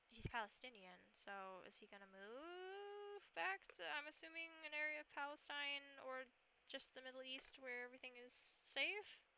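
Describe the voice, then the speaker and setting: A woman speaks in a raised, projected voice with high pitch at a moderate pace. Her pitch swings very widely and her loudness shifts greatly. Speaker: political streamer. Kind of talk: casual livestream chat.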